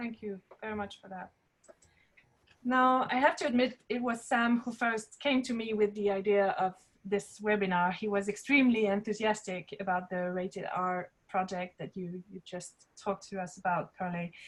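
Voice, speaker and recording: Ordinary pitch variation, big swings in loudness, a moderate pace and a somewhat breathy quality. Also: woman, medium pitch for a woman. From France or Germany. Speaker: webinar moderator. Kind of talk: moderating a panel. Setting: webinar.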